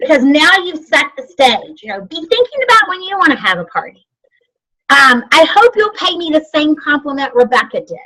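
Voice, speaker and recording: A woman speaks in a high, raised, projected voice with very wide pitch swings. Her loudness rises and falls sharply. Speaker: sales trainer. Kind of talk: training class. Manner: fast.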